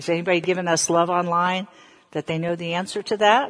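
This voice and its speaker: A woman with an American accent speaks fairly quickly in an unremarkable speaking voice, her pitch fairly low. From US South. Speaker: preacher. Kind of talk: sermon. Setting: online church service.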